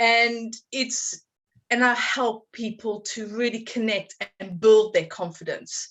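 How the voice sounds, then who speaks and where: A woman speaks with a strong South African accent at a fairly high pitch. Her pace is very slow and her intonation fairly even. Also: big swings in loudness. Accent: South African, still strong after two decades. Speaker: confidence coach. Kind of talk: podcast interview.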